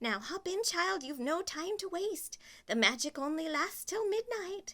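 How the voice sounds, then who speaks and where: A woman uses a squeaky, put-on character voice at an extremely high pitch. She keeps a moderate pace. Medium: read story. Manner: warm, bustling.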